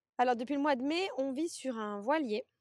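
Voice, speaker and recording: Recorded with a dry, close sound and no echo, a woman talks at a moderate pace with lively intonation. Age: 30s. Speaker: fertility doula. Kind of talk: interview conversation.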